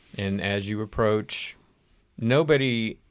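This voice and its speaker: On a very clean recording, a man's voice sits over a silent background. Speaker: game master. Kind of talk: casual tabletop roleplaying game chat.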